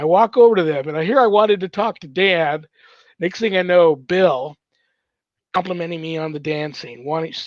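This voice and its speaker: A man with a high-pitched voice talks at a moderate pace, his loudness swinging widely. His pitch varies in an ordinary way over a quiet background. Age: 60s. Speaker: paranormal ministry host, priest. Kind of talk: casual chat, storytelling. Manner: animated.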